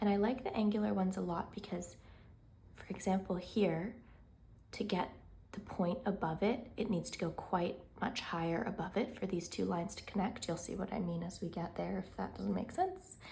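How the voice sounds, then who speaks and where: Amid audible room echo, a woman with a calm, dark, mellow tone speaks at medium pitch with ordinary pitch variation and vocal fry. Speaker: painting content creator. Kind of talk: tutorial. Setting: home studio. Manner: slow.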